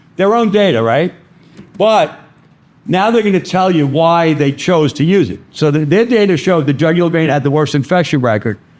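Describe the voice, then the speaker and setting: A man with a fairly high pitch speaks at a moderate pace with lively intonation. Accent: Brooklyn. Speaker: vascular access instructor. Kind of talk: lecture. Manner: animated.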